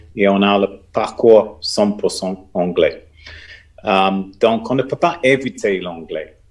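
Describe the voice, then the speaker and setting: With an English accent, a man speaks at a very slow pace, leaving long, frequent pauses. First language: English (speaking French). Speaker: business school teacher. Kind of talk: panel discussion. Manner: hesitant.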